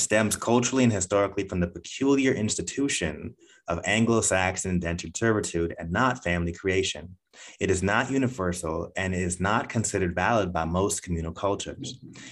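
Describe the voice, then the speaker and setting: A man talks at a fairly quick pace in a fairly low pitch with ordinary pitch variation and an unremarkable speaking voice. The recording is very clean, with a silent background. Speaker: podcast host. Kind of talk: interview, with scripted intro.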